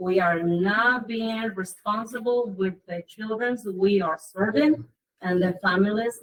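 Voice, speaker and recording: A woman speaks at a medium pitch with a non-native accent. Her voice is somewhat breathy, with ordinary pitch variation. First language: Spanish. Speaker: parent member of school council. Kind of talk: public meeting report.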